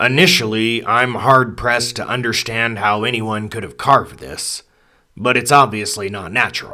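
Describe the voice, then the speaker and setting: Putting on a quiet, raspy character voice, a man of medium pitch talks at a moderate pace with ordinary pitch variation and big swings in loudness, recorded very cleanly over a silent background. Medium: read story. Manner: measured, quiet.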